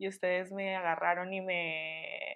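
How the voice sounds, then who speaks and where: Her intonation stays monotone and flat. The woman's voice rests at a medium pitch. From Chihuahua, Mexico. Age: 20s. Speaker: communications student. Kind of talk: casual chat.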